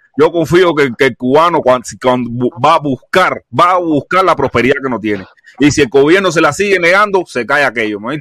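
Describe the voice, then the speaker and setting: A man's fairly high, bright and sharp voice at a moderate pace with lively intonation, the sound dry and close with no echo. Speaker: panelist on live stream. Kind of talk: heated debate. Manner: forceful, swearing.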